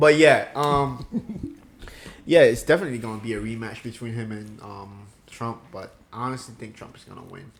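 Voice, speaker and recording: Moderate pace, ordinary pitch variation and big swings in loudness amid noticeable background noise. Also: man, medium pitch for a man. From Ivory Coast. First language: French. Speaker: podcast co-host. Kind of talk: casual chat.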